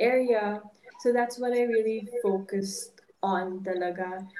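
A woman talks in a Filipino accent at a medium pitch. Her intonation stays monotone and flat. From Philippines. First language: Ilonggo. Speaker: retired volleyball player, fashion student. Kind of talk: casual interview chat, Taglish. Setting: podcast studio.

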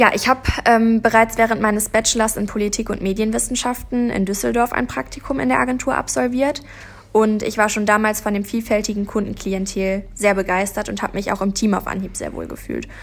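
This woman has an unremarkable speaking voice, pitched fairly high. She talks at a fairly quick pace with ordinary pitch variation. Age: 20s. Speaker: PR and marketing trainee. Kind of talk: interview.

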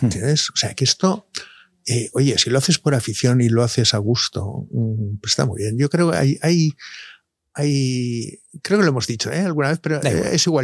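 Over music in the background, a man with a medium pitch speaks at a moderate pace with lively intonation, the sound dry and close with no echo. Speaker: doctor (andrologist). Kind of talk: casual interview. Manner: halting.

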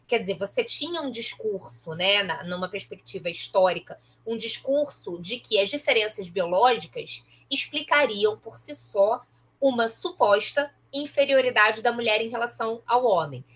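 In a normal speaking voice, a woman talks fairly slowly at a fairly high pitch with lively intonation. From Baixada Fluminense, Rio de Janeiro state (Nova Iguaçu). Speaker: professor and podcaster. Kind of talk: interview conversation.

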